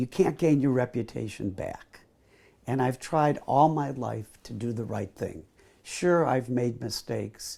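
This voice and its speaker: In an American accent, a man with a dark, mellow tone and vocal fry speaks fairly slowly at a medium pitch with ordinary pitch variation. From US Midwest, Chicago. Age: 70s. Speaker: family memoir storyteller. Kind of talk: life story interview.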